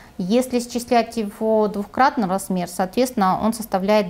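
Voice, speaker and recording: This is a woman with a fairly high-pitched voice. Her intonation stays fairly even. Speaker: pension fund official; guest. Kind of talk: TV interview. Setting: studio. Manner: formal. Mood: calm, measured. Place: studio. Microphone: lapel.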